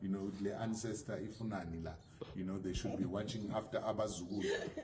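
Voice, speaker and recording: With noticeable background noise around him, a man speaks at a moderate pace and ordinary pitch variation. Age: 50s. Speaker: HIV activist. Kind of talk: interview answer.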